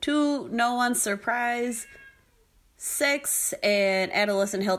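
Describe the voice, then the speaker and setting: A woman's fairly high voice with lively intonation, a normal speaking voice. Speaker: podcast host. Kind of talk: casual interview discussion.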